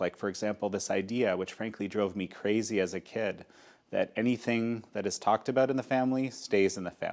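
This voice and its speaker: A man with a Canadian accent speaks in a plain, everyday voice, fairly low in pitch with fairly even intonation. The recording is very clean, with a silent background. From Canada. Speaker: interview show host. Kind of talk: interview.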